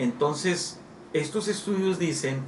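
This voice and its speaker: A man talks at a fairly slow pace, his voice carrying audible room echo and noticeable background noise. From northern Mexico, Coahuila. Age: 50s. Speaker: pastor. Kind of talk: interview.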